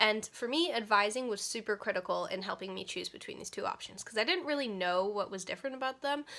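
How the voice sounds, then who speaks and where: Over noticeable background noise, a woman talks at a very fast pace in a fairly high pitch. She hardly pauses. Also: lively intonation. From Vermont, Stratford. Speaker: university student. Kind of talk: student testimonial.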